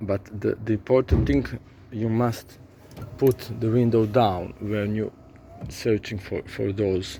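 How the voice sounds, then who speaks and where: Speaking with a non-native accent, a man with a fairly low pitch talks at a very slow pace with ordinary pitch variation and long, frequent pauses. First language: not English. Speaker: car repair vlogger. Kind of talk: tutorial. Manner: halting, many repeated words.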